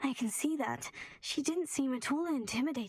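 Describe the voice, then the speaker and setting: A woman puts on a character voice, speaking at a fairly quick pace in a high pitch. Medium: video game. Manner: polite, reserved.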